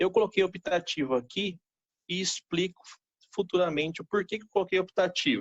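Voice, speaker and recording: His pace is moderate. The man talks in a high voice. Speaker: accountant. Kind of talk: tutorial. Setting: live stream.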